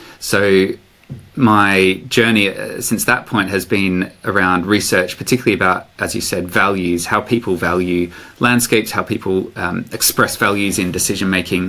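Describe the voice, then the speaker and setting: With an Australian accent, a man talks at a moderate pace in a fairly low pitch. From Australia, Sydney. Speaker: professor. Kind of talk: podcast interview. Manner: hesitant, many fillers.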